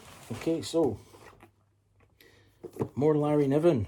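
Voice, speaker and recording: This man has a dark, mellow tone. He speaks in a British accent. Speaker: book reviewer. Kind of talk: casual talk to camera. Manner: breathless.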